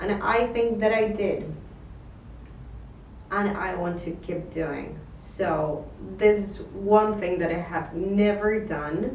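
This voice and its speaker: A woman with a non-native accent talks very slowly at a medium pitch, with ordinary pitch variation and long, frequent pauses. Noticeable background noise and audible room echo surround her voice. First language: not English. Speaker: vlogger, photographer and filmmaker. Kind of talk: casual monologue to camera. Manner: halting, with fillers.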